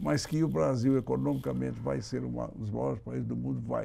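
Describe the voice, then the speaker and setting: Very clean recording of a man whose pitch swings very widely, the background silent. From Brazil. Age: 80s+. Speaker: political commentator. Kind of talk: interview.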